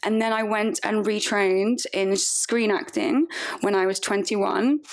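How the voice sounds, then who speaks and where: A woman with a southern English accent, fairly high in pitch, animated in tone with lively intonation, at a fairly slow pace and very even loudness. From southern England (Woking, Surrey). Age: 30s. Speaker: actress and stripper. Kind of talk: casual interview.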